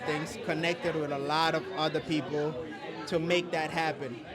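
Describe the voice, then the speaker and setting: A man with a slight Haitian accent and high pitch, audible room echo, and crowd noise in the background. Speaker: filmmaker and content creator. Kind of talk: casual interview. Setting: networking event. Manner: halting.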